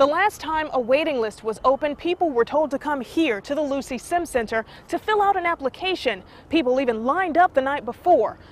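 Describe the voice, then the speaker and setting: Over noticeable background noise, a woman talks at a fairly quick pace with a high pitch and lively intonation. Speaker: TV news reporter. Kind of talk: TV news live shot reporting.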